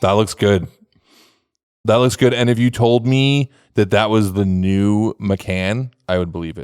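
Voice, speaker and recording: An American accent in a normal speaking voice, fairly slow, with ordinary pitch variation and a dry, close sound with no echo on a very clean recording with a silent background. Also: man, fairly low pitch for a man. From New York City. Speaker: podcast host. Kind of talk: casual chat.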